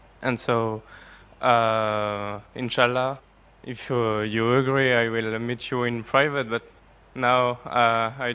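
A man with a French accent at a very slow pace, in monotone, flat intonation. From France. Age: young. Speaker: audience member asking a question; audience member. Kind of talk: audience question. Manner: halting, hesitant. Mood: polite, slightly hesitant. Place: hall. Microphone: podium.

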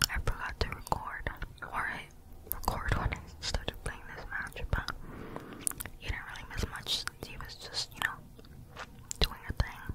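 The voice is whispering at a moderate pace, with long, frequent pauses. Noticeable background noise is present. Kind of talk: ASMR whispered gameplay commentary. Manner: whispered, soft-spoken.

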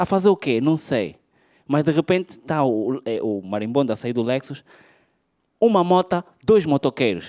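A man's dark, mellow voice at a moderate pace, with very wide pitch swings and long, frequent pauses, against a quiet background. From Angola. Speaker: stand-up comedian. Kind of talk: stand-up comedy. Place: stage. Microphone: handheld.

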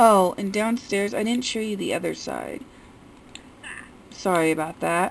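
A woman speaks at a fairly slow pace with long, frequent pauses. Light background noise sits behind her. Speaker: gaming YouTuber. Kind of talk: game house tour commentary. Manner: quiet, not loud. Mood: relaxed, mildly frustrated. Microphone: phone near.

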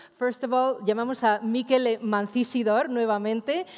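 A normal speaking voice moves at a fairly quick pace. The background is quiet. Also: woman. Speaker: event moderator. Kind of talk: event moderation. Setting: stage with audience. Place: stage.

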